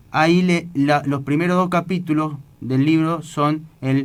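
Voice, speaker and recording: A man talks very slowly, his voice fairly high in pitch. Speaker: radio host. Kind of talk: religious radio talk. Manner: halting.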